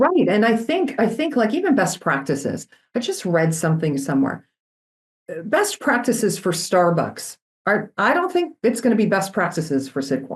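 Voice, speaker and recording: The voice is loud and energetic, with vocal fry. Its pitch swings very widely at a moderate pace. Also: woman, medium pitch for a woman. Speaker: company CEO. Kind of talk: interview. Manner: animated.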